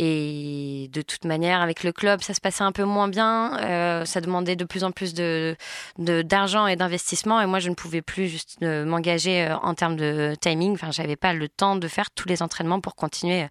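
Fairly low in pitch, the woman speaks at a moderate pace with fairly even intonation on a very clean recording with a silent background. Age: 20s. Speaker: former figure skater, communications manager. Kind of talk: interview. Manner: hesitant, many fillers.

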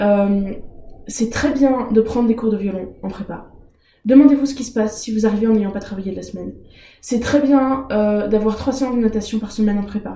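The voice moves at a moderate pace with fairly even intonation and big swings in loudness, amid audible room echo and noticeable background noise. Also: woman, fairly high pitch for a woman. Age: 20s. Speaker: master's student and former navy member. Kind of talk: interview.

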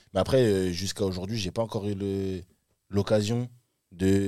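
At a moderate pace, a man speaks in a fairly low pitch on a very clean recording with a silent background. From Paris suburbs, Île-de-France. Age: 20s. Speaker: rapper. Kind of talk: casual chat.

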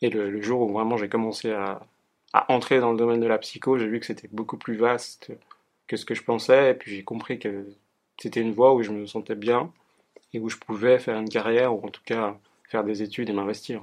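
This man talks at a fairly quick pace in a medium pitch with monotone, flat intonation and big swings in loudness against a quiet background. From Geneva area, France-Switzerland border (Annemasse). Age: 20s. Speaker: psychology student and research assistant. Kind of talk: interview. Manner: halting, many fillers.

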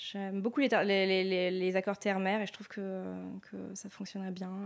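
A woman talks at a fairly slow pace. Her intonation stays monotone and flat. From Loire Valley, France (Sancerre). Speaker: sommelier and wine shop owner. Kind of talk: interview testimony.

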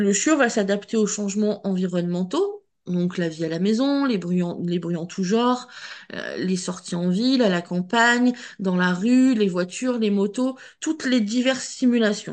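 A woman speaks at a fairly slow pace in a medium pitch, with ordinary pitch variation and a quiet background. Hers is an ordinary speaking voice. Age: 40s. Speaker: dog breeder and trainer. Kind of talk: interview.

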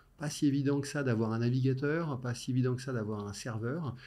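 A man speaks at a moderate pace in a dark, mellow tone. His pitch varies an ordinary amount. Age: 50s. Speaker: tech innovation director. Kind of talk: interview.

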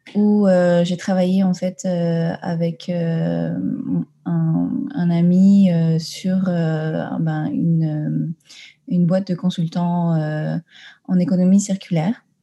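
Slow and with vocal fry, a woman speaks in a fairly low voice with a dark, mellow tone and little pitch movement.

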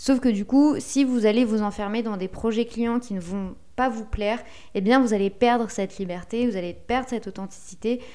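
With a dark, mellow tone, a woman speaks at a fairly high pitch and a moderate pace in fairly even intonation. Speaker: podcast host and SEO consultant. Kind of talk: solo podcast tutorial. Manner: relaxed, conversational.

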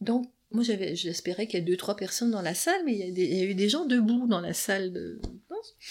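A woman at a fairly quick pace. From Quebec. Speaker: psychoanalyst. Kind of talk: interview. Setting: her office.

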